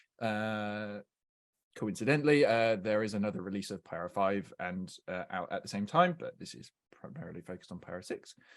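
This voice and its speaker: A man with a fairly low pitch and a normal speaking voice talks at a fairly quick pace, his intonation lively and his loudness swinging widely. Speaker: software engineer presenting a webinar. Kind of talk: technical webinar presentation. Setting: online webinar. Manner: many filler words (uh, um).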